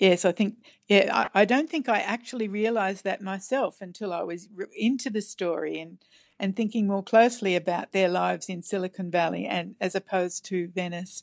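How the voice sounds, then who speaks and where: Over a quiet background, a woman with an Australian accent speaks with ordinary pitch variation. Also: medium pitch for a woman, fairly quick pace. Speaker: novelist. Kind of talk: interview. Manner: halting.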